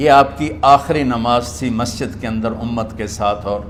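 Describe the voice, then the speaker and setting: A man talks while noticeable background noise plays behind him. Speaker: Islamic preacher. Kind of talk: religious sermon. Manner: emotional, passionate.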